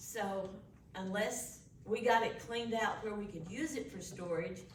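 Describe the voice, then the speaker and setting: Amid audible room echo and noticeable background noise, a woman with a Texan accent speaks with ordinary pitch variation. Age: 60s. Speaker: historical commission secretary. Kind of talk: public meeting remarks.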